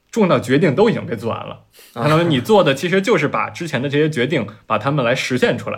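The man's speech comes out very fast. His intonation stays lively throughout. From Beijing. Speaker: urban renewal project founder. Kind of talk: casual panel discussion.

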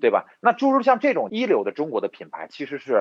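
A man talks at a fairly quick pace. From Inner Mongolia, Hulunbuir. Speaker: entrepreneur, electronics company owner. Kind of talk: interview.

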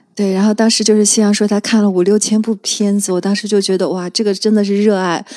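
Very fast speech comes from a woman at medium pitch with monotone, flat intonation. Her tone is dark and mellow. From Qingdao, China. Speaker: film enthusiast guest. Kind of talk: casual chat. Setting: studio.

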